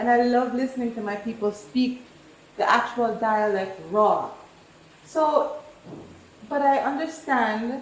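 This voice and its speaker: Amid noticeable background noise and audible room echo, a woman speaks in a high pitch with ordinary variation. She goes at a fairly slow pace with long, frequent pauses. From New York, Jamaican family. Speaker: home cook contestant. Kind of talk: casual chat. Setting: kitchen in a rental apartment.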